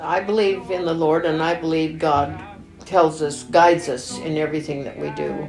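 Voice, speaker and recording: A woman with an American accent and a very deep, low pitch speaks at a moderate pace with ordinary pitch variation. Music plays in the background, and room echo is audible. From Oregon, US Pacific Northwest (rural Sherman County). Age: 80s+. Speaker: documentary interviewee, elderly mother and grandmother. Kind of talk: documentary interview. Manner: halting.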